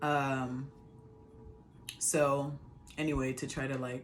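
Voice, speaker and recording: A woman speaks at a very slow pace, her very deep, low voice bright and sharp in tone. Her intonation stays monotone and flat. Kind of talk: casual talk to camera.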